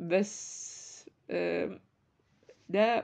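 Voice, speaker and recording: The speaker is a woman. She talks with an Egyptian accent. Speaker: podcast host, book reviewer. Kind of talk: casual book review monologue. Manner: halting, many fillers.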